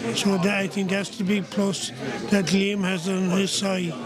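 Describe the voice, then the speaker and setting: A man is speaking, with crowd noise behind him. The sound itself is dry, with no echo. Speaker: guest. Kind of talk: interview answer. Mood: warm, praising. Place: cafe.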